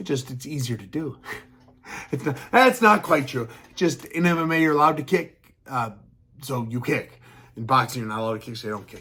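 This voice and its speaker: Bright and sharp in tone, a man's fairly high voice moves at a fairly quick pace with lively intonation, big swings in loudness and long, frequent pauses. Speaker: MMA commentary vlogger. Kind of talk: casual opinion monologue. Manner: fast.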